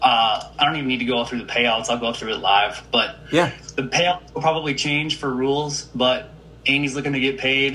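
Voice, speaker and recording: Here a man talks at a moderate pace in a medium pitch. He has a plain, everyday voice with ordinary pitch variation. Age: 30s. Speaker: fantasy football podcast co-host. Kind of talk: casual chat.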